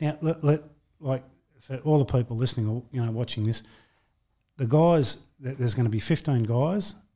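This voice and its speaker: A man with an Australian accent, medium pitch and ordinary pitch variation, his tone dark and mellow and somewhat breathy, at a moderate pace, on a very clean recording with a silent background. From Australia, western Sydney. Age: 50s. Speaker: record-breaking boxer, mental health advocate. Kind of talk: interview.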